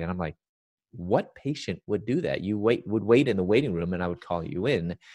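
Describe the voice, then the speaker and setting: With an American accent, a man speaks at a moderate pace in a very deep, low pitch with ordinary pitch variation, in a dry, close sound with no echo. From Chicago, US Midwest. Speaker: Bible teacher and speaker. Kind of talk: casual chat; testimony.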